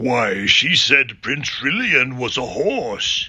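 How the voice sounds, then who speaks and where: In a raspy, put-on character voice at medium pitch, a man speaks at a very slow pace. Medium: read story.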